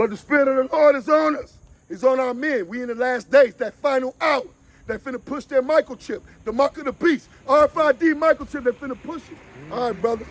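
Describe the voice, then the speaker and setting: Shouting loudly at a fairly quick pace, a man with an extremely high voice and ordinary pitch variation sounds dry and close, with no echo. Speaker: street preacher. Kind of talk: street preaching. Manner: loud, yelling.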